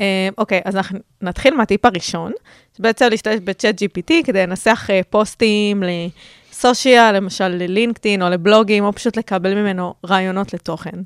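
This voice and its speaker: In a very clean recording with a silent background and a dry, close sound with no echo, a woman with a plain, everyday voice speaks at a moderate pace, at medium pitch, with fairly even intonation. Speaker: podcast co-host, marketing worker and student. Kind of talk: casual chat.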